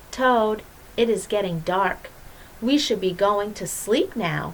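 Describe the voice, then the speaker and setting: Using a put-on character voice with a calm, gentle tone, a woman speaks at a fairly slow pace over clear background noise. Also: medium pitch for a woman. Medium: read story.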